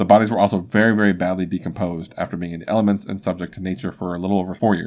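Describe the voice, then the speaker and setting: This man talks at a very fast pace. His pitch is very deep and low, and his intonation is flat and monotone. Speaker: podcast host. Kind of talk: true-crime narration, storytelling read. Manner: conversational, casual.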